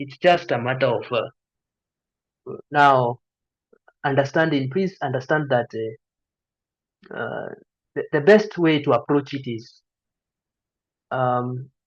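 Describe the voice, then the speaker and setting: A man with a Kenyan accent talks at a fairly slow pace with a fairly high pitch. He leaves long, frequent pauses and uses ordinary pitch variation. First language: Kikuyu. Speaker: medical student tutor, YouTuber. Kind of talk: online lecture Q&A. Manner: hesitant, many fillers.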